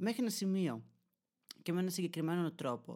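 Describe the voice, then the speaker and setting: Fairly quick speech comes through on a very clean recording with a silent background. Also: man. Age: 20s. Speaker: podcaster and YouTuber. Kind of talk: solo monologue podcast. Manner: animated.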